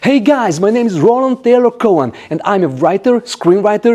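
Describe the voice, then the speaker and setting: A man speaks with a Hungarian accent. His pace is moderate. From Hungary, Budapest. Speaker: actor and filmmaker. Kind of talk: scripted narration.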